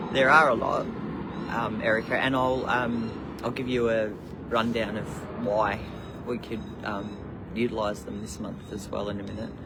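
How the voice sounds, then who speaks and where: With an Australian accent, a man talks at a moderate pace and medium pitch with fairly even intonation and long, frequent pauses, amid noticeable background noise and audible room echo. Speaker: spiritual teacher livestreamer. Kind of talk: casual live stream. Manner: loud; halting with many fillers.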